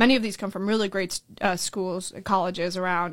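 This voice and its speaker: A woman with an American accent talks at a very fast pace with fairly even intonation. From Orlando, Florida (born in Colombia). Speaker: school board candidate. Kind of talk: interview.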